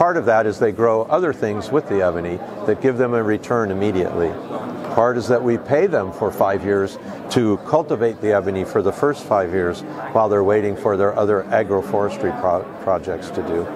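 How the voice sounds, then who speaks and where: The speaker moves at a fairly quick pace with ordinary pitch variation. Noticeable background noise runs underneath. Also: man, fairly low pitch for a man. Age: 60s. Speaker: guitar maker and company founder. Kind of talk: interview. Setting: trade show.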